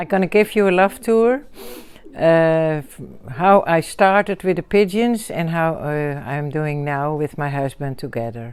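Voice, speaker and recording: Talking at a fairly slow pace, a woman with a Dutch accent shows big swings in loudness. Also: fairly low pitch for a woman, lively intonation. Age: 60s. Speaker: pigeon fancier. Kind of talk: casual chat. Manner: halting.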